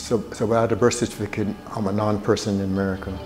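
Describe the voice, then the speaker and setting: Music plays in the background as the speaker rushes at a very fast pace in a monotone, flat delivery. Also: man. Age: 70s. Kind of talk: interview answer.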